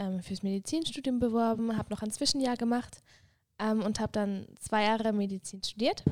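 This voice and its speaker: A woman talks in an ordinary speaking voice. Her pitch is fairly high and her pace fairly quick. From Switzerland, Graubünden. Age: 20s. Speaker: mission school student, former medical student. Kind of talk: casual chat.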